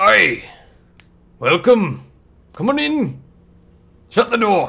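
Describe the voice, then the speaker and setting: A man's put-on character voice, extremely high in pitch and very slow. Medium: actual play. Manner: hearty, uses aye.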